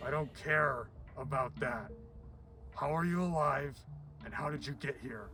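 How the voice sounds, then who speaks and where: A man puts on a raspy character voice, pitched fairly high, speaking at a moderate pace with long, frequent pauses over clear background noise. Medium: audio drama.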